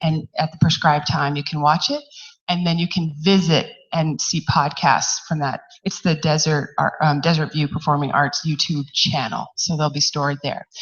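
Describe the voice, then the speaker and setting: Somewhat breathy, a woman speaks with a very deep, low pitch at a moderate pace and fairly even intonation. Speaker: university outreach organizer. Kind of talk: event announcements.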